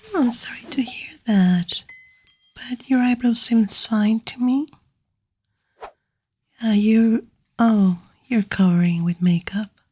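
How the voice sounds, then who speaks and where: The soft-spoken delivery is very slow in pace, broken by long, frequent pauses. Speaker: ASMR performer. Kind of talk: ASMR roleplay, personal attention.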